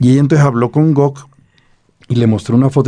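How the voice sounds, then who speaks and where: A man with a Bogotá accent speaks in a dark, mellow tone. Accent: Bogotá accent, Santa Marta barely heard. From Colombia, Bogotá. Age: 60s. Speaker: poet and novelist. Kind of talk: interview.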